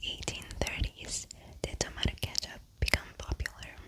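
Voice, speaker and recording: Whispering by a woman, with noticeable background noise around it. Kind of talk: whispered ASMR fun-facts reading for sleep. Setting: studio mic. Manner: soft, whispered.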